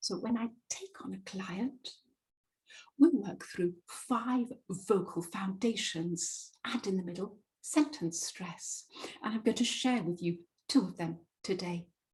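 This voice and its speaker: A woman with a British accent speaks at a very slow pace and a medium pitch, somewhat breathy. Her intonation is lively, with big swings in loudness. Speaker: presentation and voice coach. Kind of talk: webinar presentation. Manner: clearly articulated.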